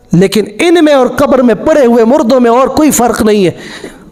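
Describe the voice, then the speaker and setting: With noticeable background noise around him, a man speaks at an extremely high pitch. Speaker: Islamic scholar. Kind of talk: religious sermon / lecture.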